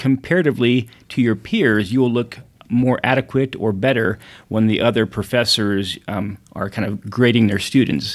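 Here a man with a plain, everyday voice speaks at medium pitch and a fairly quick pace, with ordinary pitch variation. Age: 40s. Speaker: ophthalmologist. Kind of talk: casual chat.

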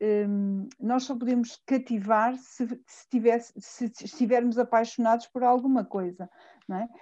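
Fairly slow, fairly even speech from a woman with a fairly high pitch and a dark, mellow tone, set against a quiet background. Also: big swings in loudness. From central Portugal, near Fátima. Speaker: teacher. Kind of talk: casual chat.

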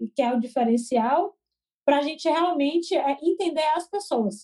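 A woman with a Bahian accent speaks at a moderate pace and high pitch, her dark, mellow tone carrying ordinary pitch variation. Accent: Bahian Brazilian Portuguese. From Brazil, Salvador (Bahia). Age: 20s. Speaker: entrepreneur, education startup founder. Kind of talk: casual interview.

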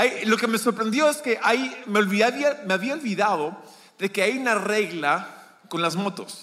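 Against noticeable background noise, a man with a high pitch speaks slowly in a raised, projected voice with ordinary pitch variation. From Peru, Lima. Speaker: guest preacher. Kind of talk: sermon. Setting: church. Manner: halting.

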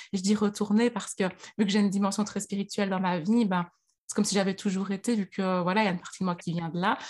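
A woman talks at a very fast pace in a medium pitch, somewhat breathy and with monotone, flat intonation. The recording is very clean, with a silent background. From Belgium, Liège. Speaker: astrology coach and author. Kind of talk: interview.

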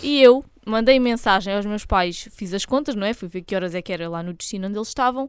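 Talking at a very fast pace with big swings in loudness and ordinary pitch variation, a woman is heard on a very clean recording with a silent background. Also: medium pitch for a woman. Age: 20s. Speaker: podcast co-host. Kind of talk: casual chat.

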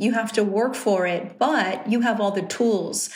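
In a Southern California accent, a woman speaks fairly slowly at a medium pitch with fairly even intonation, and audible room echo can be heard. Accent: Southern California valley-girl sound. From Riverside, Southern California. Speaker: television personality and journalist. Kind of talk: casual interview.

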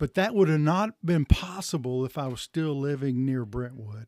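With a Tennessee accent, a man at medium pitch speaks at a moderate pace. The recording is very clean with a silent background and a dry, close sound with no echo. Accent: Southern US, Tennessee. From Tennessee, Chattanooga area. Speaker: denominational church consultant. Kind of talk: interview. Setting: pastor's office.

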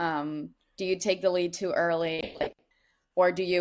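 In a very clean recording with a silent background, a woman with a Dutch accent talks at a moderate pace, her fairly low pitch carrying fairly even intonation. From Netherlands. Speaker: college distance runner. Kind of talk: interview.

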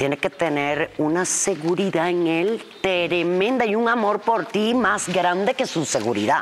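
Through noticeable background noise, a woman with a fairly low pitch talks at a fairly slow pace with hardly any pauses, lively intonation, and very even loudness. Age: 50s. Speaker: podcast host. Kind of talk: casual chat. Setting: studio.

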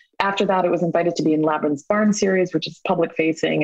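A woman with a normal speaking voice talks in a fairly low pitch. Her intonation is fairly even, and the sound is dry and close with no echo. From born in Mumbai, India; raised in small-town New York State, US. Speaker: playwright. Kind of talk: casual interview.

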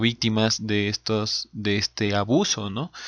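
Pitched fairly low, a man delivers his words at a very slow pace. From Peru. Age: 30s. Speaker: podcast co-host. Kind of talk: casual chat.

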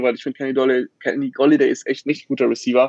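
A man speaks with a fairly high pitch. The sound is dry and close, with no echo. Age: 20s. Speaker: online sports editor and football podcaster. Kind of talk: casual panel discussion.

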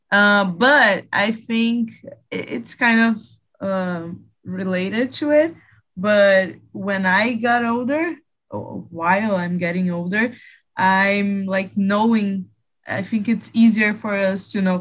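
A woman with a Portuguese accent talks at a very slow pace with long, frequent pauses. Her medium-pitched voice shows ordinary pitch variation. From Brazil, Rio de Janeiro. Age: 20s. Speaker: English learner. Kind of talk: casual group conversation practice. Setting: video call.

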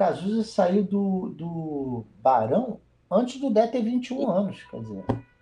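A man's high voice at a very slow pace, with lively intonation and big swings in loudness. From Rio de Janeiro, Brazil. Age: 50s. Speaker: musician. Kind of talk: interview.

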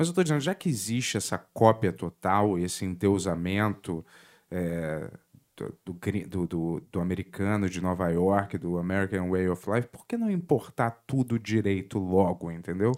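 A fairly slow voice in a Rio de Janeiro accent, ordinary pitch variation, on a very clean recording with a silent background. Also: man, very deep, low pitch for a man. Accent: carioca. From Rio de Janeiro, Brazil (born in Lisbon). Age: 40s. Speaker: podcast host. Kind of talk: casual interview.

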